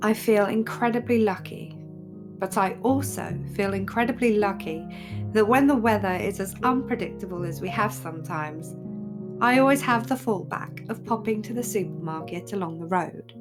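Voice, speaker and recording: Lively intonation in a calm, relaxed tone with an English accent, at a moderate pace over music in the background. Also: woman, medium pitch for a woman. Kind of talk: vlog voiceover.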